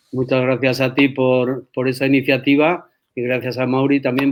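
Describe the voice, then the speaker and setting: A man talks at a moderate pace in a medium pitch. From Spain, San Sebastián. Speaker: rugby federation president. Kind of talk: interview.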